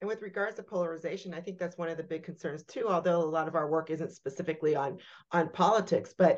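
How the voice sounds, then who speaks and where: A woman speaks at a medium pitch with ordinary pitch variation. It is an unremarkable speaking voice. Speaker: podcast co-host. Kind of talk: interview conversation.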